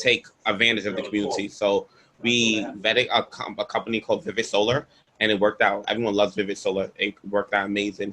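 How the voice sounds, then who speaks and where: The speaker talks at a fairly quick pace with a New York accent and monotone, flat intonation. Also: man. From Brooklyn, New York. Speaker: environmental activist. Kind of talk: panel Q&A.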